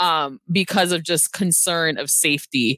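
In an unremarkable speaking voice, a woman with an American accent talks at a fairly slow pace and fairly low pitch, the sound dry and close with no echo. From Brooklyn, New York. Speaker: nonprofit executive director and educator. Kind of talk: interview.

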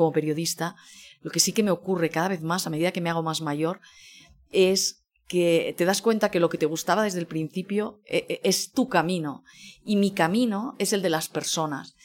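A woman speaks at a moderate pace with ordinary pitch variation and a fairly low pitch. Hers is a plain, everyday voice. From Spain, Barcelona. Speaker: food journalist. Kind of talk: interview conversation.

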